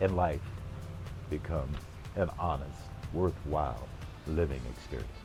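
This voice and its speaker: A man is speaking. Music plays in the background. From Los Angeles, California. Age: 70s. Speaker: retired former radio personality and jazz musician. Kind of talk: interview answer.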